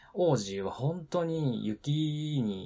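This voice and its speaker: Lively intonation in a somewhat breathy male voice. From Nagano, Japan. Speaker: podcast host, former taxi driver. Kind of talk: casual solo talk. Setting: live stream.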